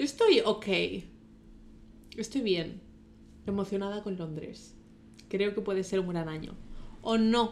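A woman talks very slowly, stopping often and for a long time. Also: medium pitch for a woman, ordinary pitch variation. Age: 20s. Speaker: podcast co-host. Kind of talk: casual chat.

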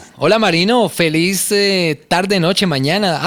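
A man is talking. His delivery is fairly slow. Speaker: radio host. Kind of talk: casual chat.

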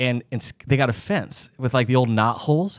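With an American accent, a man uses an ordinary speaking voice at medium pitch with ordinary pitch variation, in a very clean recording with a silent background. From US Midwest, Sioux Falls, South Dakota. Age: 40s. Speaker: doctor and podcast host. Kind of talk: casual chat.

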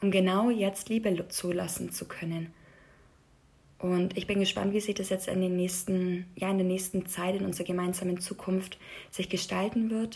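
The voice is somewhat breathy, at a moderate pace. Its intonation is monotone and flat. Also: woman, medium pitch for a woman. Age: 20s. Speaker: podcast host. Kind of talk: personal monologue.

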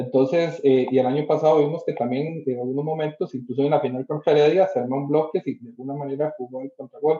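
A man with fairly high pitch talks at a very fast pace with hardly any pauses. His loudness swings widely, while his intonation stays fairly even. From Costa Rica. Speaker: football pundit. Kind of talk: casual chat.

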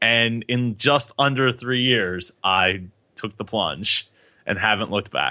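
Medium in pitch, a man speaks at a very slow pace with ordinary pitch variation. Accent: American. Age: 20s. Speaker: podcaster and web developer. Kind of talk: interview. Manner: halting, many repetitions and fillers.

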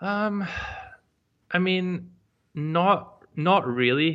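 The speaker is a man. He moves through an ordinary range of pitch. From Scotland. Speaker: online entrepreneur. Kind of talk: casual interview. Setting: remote call. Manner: confident.

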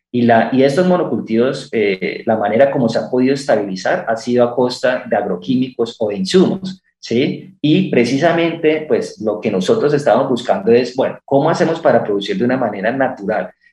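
A man speaks in an ordinary speaking voice at medium pitch, with lively intonation, a fairly quick pace and hardly any pauses. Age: 30s. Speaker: startup founder and rancher. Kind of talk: radio interview.

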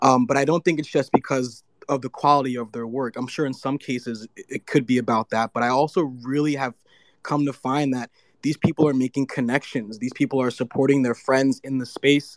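In a very clean recording with a silent background and a dry, close sound with no echo, a man with an ordinary speaking voice talks at a fairly quick pace, medium pitch and fairly even intonation. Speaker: audience speaker. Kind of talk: casual chat. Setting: Twitter space audio room.

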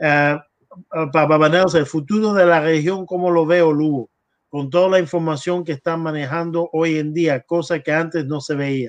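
This is a plain, everyday voice, moving at a fairly quick pace. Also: man, fairly high pitch for a man, fairly even intonation. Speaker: livestream host and translator. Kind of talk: casual interview livestream with interpreting. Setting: video call livestream.

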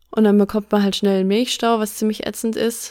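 The intonation is monotone and flat as a woman speaks at a medium pitch. The recording is very clean, with a silent background. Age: 30s. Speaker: podcast host. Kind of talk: casual chat.

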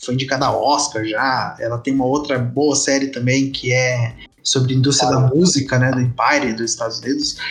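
A man's flat, monotone delivery stays at a medium pitch, with noticeable noise in the background. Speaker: podcast host. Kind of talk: casual chat.

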